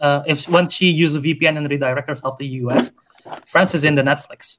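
A man with a fairly high pitch, a moderate pace and a non-native accent. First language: not English. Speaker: podcast co-host, movie reviewer. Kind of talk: casual chat. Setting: online call.

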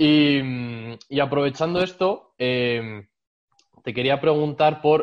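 A man speaks in an unremarkable speaking voice. His pitch is fairly high with ordinary variation. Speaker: podcast host. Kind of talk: interview conversation.

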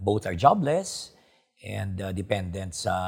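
A somewhat breathy man with a Filipino accent talks at a moderate pace in a fairly low pitch, on a very clean recording with a silent background. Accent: Filipino (Hiligaynon) English. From Philippines, Iloilo province. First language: Hiligaynon. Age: 50s. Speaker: doctor and politician. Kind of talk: interview. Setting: hotel studio. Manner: hesitant, many fillers.

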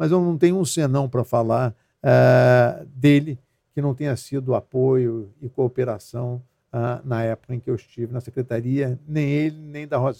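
Dry and close with no echo, the recording has a man speaking at a moderate pace in a dark, mellow tone, medium pitch and fairly even intonation. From Rio de Janeiro. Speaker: federal police chief and former politician. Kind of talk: interview.

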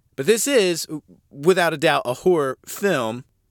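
A man speaks at a moderate pace with an American accent, his pitch swinging very widely. The sound is dry and close with no echo, on a very clean recording with a silent background. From United States. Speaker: podcast host, horror film reviewer. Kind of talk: casual podcast monologue, film review. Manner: casual, chatty, profane.

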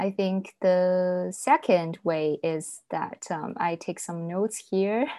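A woman with a Chinese accent, medium pitch and a very slow pace. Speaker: social media content creator, graduate student. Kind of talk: casual interview. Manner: hesitant, frequent fillers.

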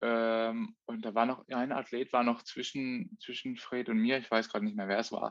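A man speaks with medium pitch and ordinary pitch variation. The background is quiet. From Baden, southwest Germany (Offenburg). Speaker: professional triathlete. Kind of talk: casual chat. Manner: halting, many fillers.

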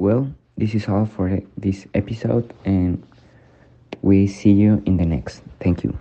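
A man with a Spanish accent speaks at a very slow pace with a fairly low pitch and ordinary pitch variation. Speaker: student podcast host. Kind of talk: scripted student podcast and interview. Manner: halting with fillers.

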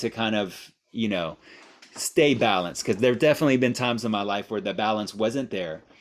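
Heard on a very clean recording with a silent background, a man with an American accent has an unremarkable speaking voice, a fairly low pitch and ordinary pitch variation. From Miami, US. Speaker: language teaching director and mindfulness teacher. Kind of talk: guided meditation; guest interview. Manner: slow, calm.

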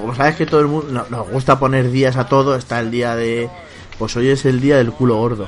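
Noticeable background noise behind fairly quick talking. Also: man, medium pitch for a man, ordinary pitch variation. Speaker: podcast host. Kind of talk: casual chat. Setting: video call.

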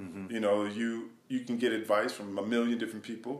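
Audible room echo frames a man with an American accent. His fairly low voice moves at a fairly quick pace. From Wisconsin, US Midwest. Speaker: hip hop artist and songwriter. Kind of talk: interview. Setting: home studio.

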